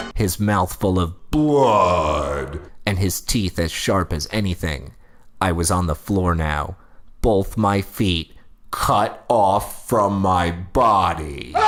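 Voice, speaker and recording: A man puts on a character voice with very deep, low pitch and a very slow pace. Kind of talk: creepypasta reading. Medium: read story. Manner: deadpan, mock-serious.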